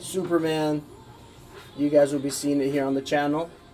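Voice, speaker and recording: Over music in the background, a man talks in a monotone, flat voice pitched fairly high. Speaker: repair business owner and channel host. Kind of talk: casual live stream chat. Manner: casual, filler-heavy.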